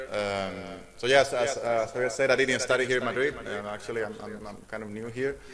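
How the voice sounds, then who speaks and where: Over noticeable background noise, a man speaks fairly quickly with fairly even intonation. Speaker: speaker. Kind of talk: lecture. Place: hall. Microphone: podium.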